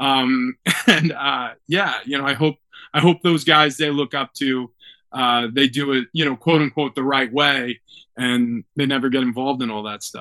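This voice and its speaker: A man's medium-pitched voice with an American accent, bright, sharp tone, fairly even intonation and moderate pace, in a dry, close sound with no echo. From New York. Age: 30s. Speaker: former football player and sports radio host. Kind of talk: casual interview.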